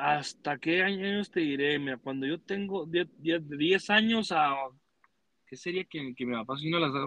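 In a plain, everyday voice, a man speaks fairly slowly at a fairly high pitch with ordinary pitch variation. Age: 20s. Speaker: rodeo roper. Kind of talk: casual chat.

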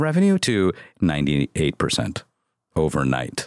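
A man's animated tone with very wide pitch swings. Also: dry, close sound with no echo. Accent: American. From US Midwest. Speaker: marketing agency founder and CEO. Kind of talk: casual interview chat. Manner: calm; animated, profane.

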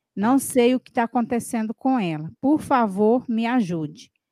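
The recording is very clean with a silent background and a dry, close sound with no echo. A woman speaks at a fairly high pitch with lively intonation. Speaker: co-host reading listener questions. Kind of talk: live Q&A show.

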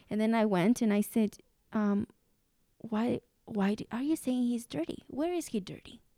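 A woman with a Spanish accent speaks at a moderate pace in a fairly high pitch, her intonation lively, with long, frequent pauses and a dry, close sound with no echo. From Mexico. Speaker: preschool teacher and podcast host. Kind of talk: casual conversation.

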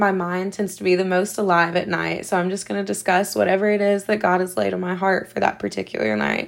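With a Southern US accent, a woman talks at a very fast pace and medium pitch, with ordinary pitch variation and hardly any pauses. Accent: Southern American. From US South, South Carolina. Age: 20s. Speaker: podcast host. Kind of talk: solo podcast introduction.

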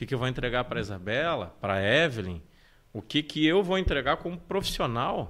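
This voice moves at a fairly quick pace with very wide pitch swings. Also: man, medium pitch for a man. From Porto Alegre, southern Brazil. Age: 30s. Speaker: life coach. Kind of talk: interview conversation. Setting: live stream studio.

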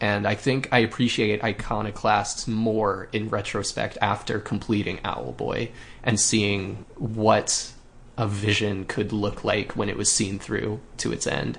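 A man talks fairly slowly in a fairly low pitch, with vocal fry. His intonation stays fairly even. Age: 30s. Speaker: video game podcast host. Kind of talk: casual chat.

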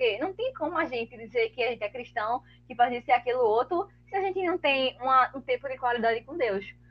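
The pace is fairly quick and the tone animated. Intonation is lively. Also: woman. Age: 20s. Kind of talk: casual chat.

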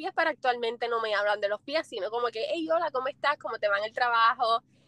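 A woman with a slight Puerto Rican accent speaks at a high pitch with ordinary pitch variation, in a dry, close sound with no echo. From Puerto Rico. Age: 20s. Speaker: foot content creator. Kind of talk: interview. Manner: smiling while speaking.

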